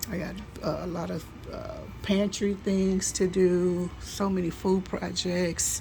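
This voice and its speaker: A soft-spoken woman at a very slow pace, with audible room echo and music in the background. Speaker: home canning vlogger. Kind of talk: casual vlog talk. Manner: halting.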